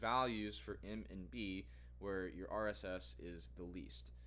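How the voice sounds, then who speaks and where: This man has a very deep, low voice with vocal fry and very wide pitch swings. He speaks very slowly, and room echo is audible. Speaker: data science bootcamp student and vlogger. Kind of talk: tutorial. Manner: halting.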